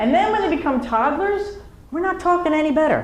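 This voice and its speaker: The woman's pitch swings very widely. Noticeable background noise and audible room echo surround her voice. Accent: New Jersey. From New Jersey. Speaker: comedian. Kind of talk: stand-up. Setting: stage with audience.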